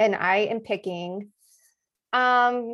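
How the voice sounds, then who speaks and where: This woman speaks with a strong Long Island accent. Her pitch variation is ordinary. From Long Island, New York. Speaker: hockey podcast co-host. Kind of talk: casual chat.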